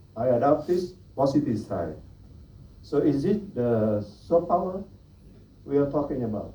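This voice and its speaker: A man with a Vietnamese accent speaks at a fairly slow pace with lively intonation. His voice is dark and mellow, somewhat breathy, and at a fairly high pitch. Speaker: Buddhist monastic speaker. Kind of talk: panel talk.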